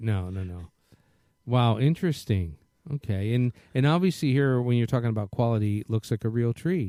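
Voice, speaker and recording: Recorded very cleanly against a silent background, a man speaks at a moderate pace and medium pitch in a dark, mellow tone, with a dry, close sound and no echo. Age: 60s. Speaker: radio host. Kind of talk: casual chat.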